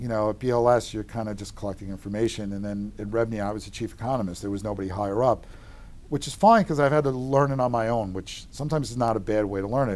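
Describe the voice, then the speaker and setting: A man speaks very fast with a strong Long Island accent. His pitch is fairly low, with ordinary pitch variation. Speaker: real estate economist. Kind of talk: interview. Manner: sounds combative.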